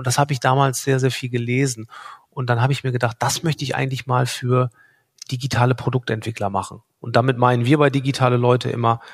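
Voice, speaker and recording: A man speaks fairly quickly in a somewhat breathy voice with monotone, flat intonation. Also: dry, close sound with no echo. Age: 40s. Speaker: startup founder and product owner. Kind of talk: podcast interview.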